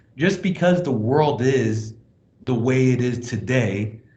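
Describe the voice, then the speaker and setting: In a room with audible echo, a man speaks at a fairly slow pace, his somewhat breathy voice at medium pitch with ordinary pitch variation. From Hong Kong. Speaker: blockchain project presenter. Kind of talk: online presentation. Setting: video call from a small office closet.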